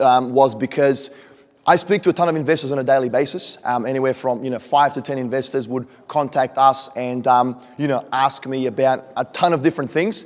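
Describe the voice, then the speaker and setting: This man talks in an Australian accent. His pitch is fairly high, with ordinary variation. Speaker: real estate investor and speaker. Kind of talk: conference presentation. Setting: stage with audience. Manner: casual, frequent fillers.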